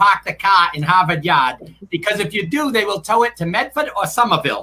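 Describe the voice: Over noticeable background noise, someone talks at a fairly quick pace with a Boston accent.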